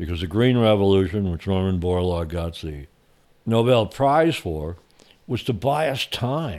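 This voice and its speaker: A man with a normal speaking voice talks at a moderate pace, his fairly low pitch carried by lively intonation. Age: 60s. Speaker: author and journalist. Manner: blunt, profane.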